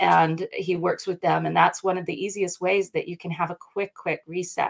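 Over a quiet background, a woman with an American accent speaks at a medium pitch with vocal fry. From US South, North Carolina. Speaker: brand coach. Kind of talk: casual interview. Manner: animated. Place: office.

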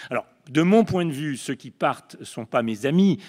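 A man speaks at a moderate pace in a plain, everyday voice, with ordinary pitch variation. The sound is dry and close with no echo, and the recording is very clean over a silent background. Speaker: panelist, left-wing activist. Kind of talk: panel talk. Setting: conference panel with audience.

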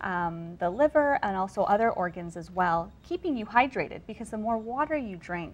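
Her intonation lively, a woman speaks at a moderate pace. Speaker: guest health host. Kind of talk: interview answer. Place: studio. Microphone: lapel.

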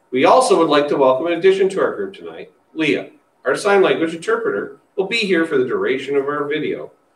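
Amid audible room echo, a man speaks at a fairly quick pace. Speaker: school district leader hosting forum. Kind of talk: formal announcement. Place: meeting room. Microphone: podium.

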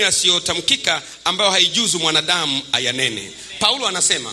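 Light background noise can be heard. Through it, a man talks. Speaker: preacher. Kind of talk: sermon. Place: church. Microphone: handheld.

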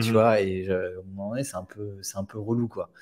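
A man talks at a fairly low pitch and a fairly slow pace. The background is quiet. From France. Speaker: business automation consultant and investor; interview guest. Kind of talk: casual interview. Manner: halting, many fillers and repetitions. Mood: relaxed, casual. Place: home room. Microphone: earbuds.

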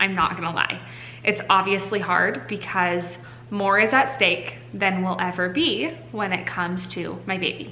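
With light background noise behind her, a woman speaks at a moderate pace with ordinary pitch variation. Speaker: parent vlogger. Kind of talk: casual vlog chat. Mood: emotional, worried, earnest. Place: home room. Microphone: phone near.

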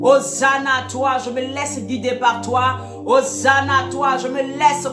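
A woman's raised, projected voice at a very slow pace, with clear music in the background. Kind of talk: sermon. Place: home room.

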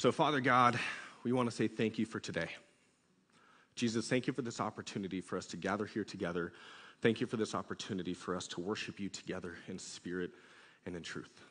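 Talking very fast, a man uses a fairly low pitch. His pitch varies in an ordinary way over a quiet background. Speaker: youth pastor. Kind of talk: sermon. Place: church. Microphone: headset.

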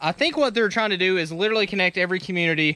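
A man uses a raised, projected voice with a bright, sharp tone and lively intonation. The sound is dry with no echo. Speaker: trail riding vlogger. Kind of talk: casual vlog chat. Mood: upbeat, slightly nervous. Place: open country. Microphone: phone near.

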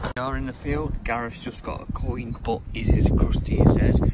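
A man speaks in a dry sound with no echo, over loud background noise. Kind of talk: casual vlog chat. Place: open country. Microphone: phone near.

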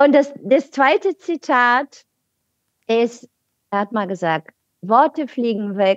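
A woman at a fairly high pitch with very wide pitch swings, very slow pace and long, frequent pauses, in a dry, close sound with no echo. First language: Bulgarian (speaking German). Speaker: podcast guest on politics. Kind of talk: casual chat. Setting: video call.

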